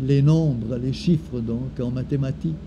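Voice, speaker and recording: Amid noticeable background noise, a man speaks at a very slow pace with ordinary pitch variation. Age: 70s. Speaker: former creativity trainer. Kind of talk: personal reflective talk. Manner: halting.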